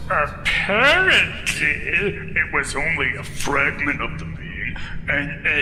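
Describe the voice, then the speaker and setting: A man puts on a character voice at a fairly slow pace. Loud background noise fills the recording. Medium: machinima.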